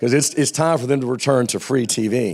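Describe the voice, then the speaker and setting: With an American accent, a man talks while noticeable background noise plays behind him. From US South. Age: 60s. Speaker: television executive. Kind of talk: panel interview.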